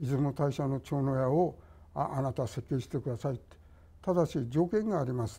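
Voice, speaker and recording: Somewhat breathy and dark, mellow in tone, a man's fairly high-pitched voice moves at a moderate pace. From Tokyo. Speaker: architect. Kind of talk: reminiscence in panel discussion. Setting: online panel discussion. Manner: halting, many pauses.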